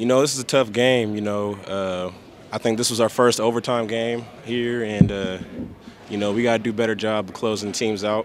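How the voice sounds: Keeping fairly even intonation, a man talks at a moderate pace and a fairly low pitch.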